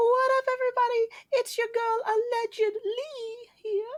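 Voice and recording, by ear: A put-on character voice pitched extremely high holds a monotone, flat intonation at a moderate pace.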